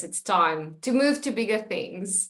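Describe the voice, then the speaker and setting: At a moderate pace, a woman speaks with a South African accent. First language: Afrikaans. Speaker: podcast host. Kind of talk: interview.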